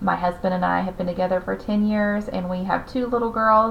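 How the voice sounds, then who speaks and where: This voice belongs to a woman. Her speech carries a slight Southern US accent. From US South. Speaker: teacher. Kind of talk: class orientation talk. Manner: hesitant with frequent fillers.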